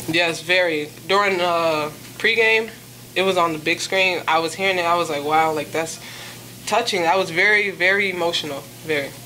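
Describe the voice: A woman's fairly low voice with a bright, sharp tone, over faint background noise. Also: ordinary pitch variation, moderate pace.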